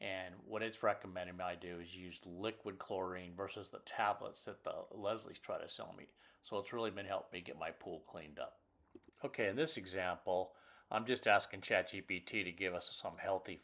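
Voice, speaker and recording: This man has a fairly low pitch and a bright, sharp tone, speaking at a moderate pace with fairly even intonation but big swings in loudness. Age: 60s. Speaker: channel host, retiree explaining AI use. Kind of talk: screen-recorded tutorial. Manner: casual, hesitant with many fillers.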